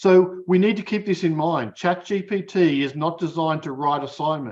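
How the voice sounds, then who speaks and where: This man's voice sits high in pitch, with ordinary pitch variation. The background is quiet. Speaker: academic keynote speaker. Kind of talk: keynote lecture. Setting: conference keynote. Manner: fast; hesitant, many fillers.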